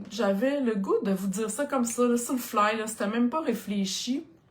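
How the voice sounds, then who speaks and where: A woman speaks at a moderate pace with a high pitch and ordinary pitch variation. Noticeable background noise can be heard. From Quebec. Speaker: craft product demonstrator. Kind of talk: live stream product presentation. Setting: live video stream. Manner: animated.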